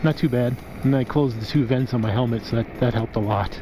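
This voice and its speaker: Over noticeable background noise, a man talks at a very fast pace with ordinary pitch variation in a dry sound with no echo. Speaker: scooter rider vlogger. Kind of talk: casual vlog chat. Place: open country. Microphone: helmet.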